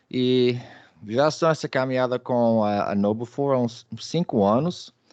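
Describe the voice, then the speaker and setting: With a Minas Gerais accent, a man talks at a moderate pace and medium pitch, with ordinary pitch variation against a quiet background. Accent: Brazilian Portuguese, Minas Gerais. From Brazil, Belo Horizonte, Minas Gerais. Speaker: data protection executive, webinar presenter. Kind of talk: webinar presentation. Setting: online webinar. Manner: hesitant, with fillers and repetitions.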